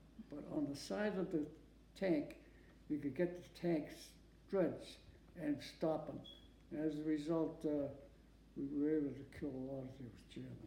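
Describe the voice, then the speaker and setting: With an American accent, a man speaks in a fairly high, somewhat breathy voice with a dark, mellow tone, his loudness swinging widely, with long, frequent pauses and audible room echo. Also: moderate pace. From Massachusetts. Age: 90s. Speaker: war veteran. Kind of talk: oral history interview. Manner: halting.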